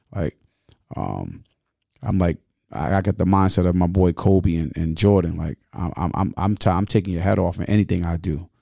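A man with a very deep, low pitch and vocal fry talks at a moderate pace, his pitch varying in an ordinary way. The recording is very clean with a silent background and a dry, close sound with no echo. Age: 40s. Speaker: community activist and mentor. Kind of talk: casual interview.

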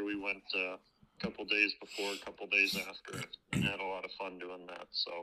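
This man speaks with a Wisconsin accent at a moderate pace. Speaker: caller. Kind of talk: casual chat. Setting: phone call.

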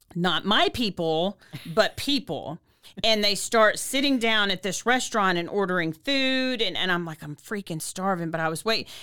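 In a very clean recording with a silent background, a woman speaks at a moderate pace and medium pitch, her tone bright and sharp and her pitch varying in an ordinary way. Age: 50s. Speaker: podcast host, recovering alcoholic. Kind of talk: casual chat. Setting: studio on video.

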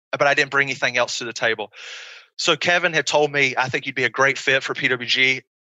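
A man talks at a very fast pace. He speaks with an American accent. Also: long, frequent pauses. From small-town North Carolina. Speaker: pro wrestler. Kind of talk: interview. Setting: video call.

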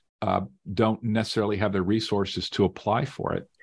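Over a quiet background, a man talks at a fairly quick pace and a medium pitch. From Las Vegas, Nevada. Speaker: author and climate law scholar. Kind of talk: interview. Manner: halting, many repeated words.

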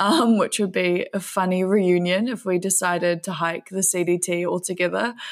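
A woman speaks in a New Zealand accent at a moderate pace. Her intonation stays monotone and flat. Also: medium pitch for a woman. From New Zealand, West Auckland. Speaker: filmmaker and thru-hiker. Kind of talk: interview conversation.

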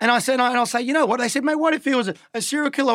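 A man with an Australian accent, extremely high-pitched and very fast, with ordinary pitch variation, in a very clean recording with a silent background. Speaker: social media influencer. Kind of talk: casual chat. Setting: studio. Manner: animated.

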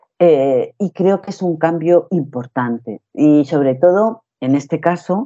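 The speech moves very slowly. Pauses are hardly there at all. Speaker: actress. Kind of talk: interview.

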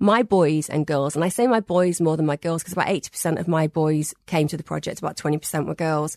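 A woman with a northern English accent, very deep and low, talking very fast with hardly any pauses, dry and close with no echo. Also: ordinary pitch variation. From northern England. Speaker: therapist. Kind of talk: interview.

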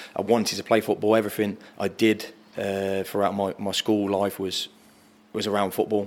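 In an English accent, a man talks at a moderate pace with a fairly low pitch. His intonation is monotone and flat. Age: 30s. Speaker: footballer. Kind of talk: casual chat.

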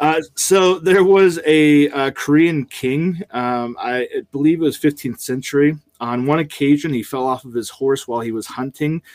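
On a very clean recording with a silent background and a dry, close sound with no echo, a man talks at a moderate pace with hardly any pauses, in an ordinary speaking voice that sits fairly high for a man and shows ordinary pitch variation. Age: 30s. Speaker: podcast host, father of three. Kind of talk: casual chat.

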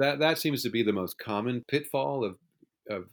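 At a fairly quick clip, a man with an ordinary speaking voice uses lively intonation. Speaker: author of film making-of books. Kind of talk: interview.

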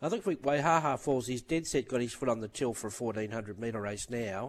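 A man speaks in an Australian accent at medium pitch. His pace is fairly quick. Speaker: racing analyst. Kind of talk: casual chat about racing.

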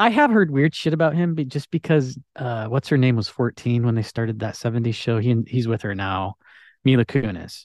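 Recorded dry and close with no echo against a quiet background, a man with a plain, everyday voice of medium pitch speaks at a fairly quick pace with ordinary pitch variation. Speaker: podcast guest. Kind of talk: casual chat.

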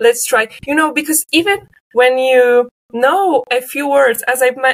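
A high-pitched woman with a Polish accent, lively intonation and a fairly slow pace, in a dry, close sound with no echo. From Poland, Leszno. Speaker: linguistics graduate researcher. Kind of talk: interview.

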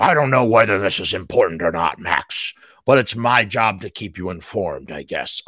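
A booming, put-on character voice with lively intonation moves at a moderate pace through a very clean recording with a silent background. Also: man, medium pitch for a man. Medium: read story. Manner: gruff, blunt, teasing.

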